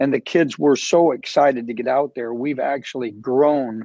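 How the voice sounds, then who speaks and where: Dry and close with no echo, a man's medium-pitched voice has a dark, mellow tone, moving at a moderate pace with fairly even intonation. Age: 60s. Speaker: youth soccer club director. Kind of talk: panel discussion.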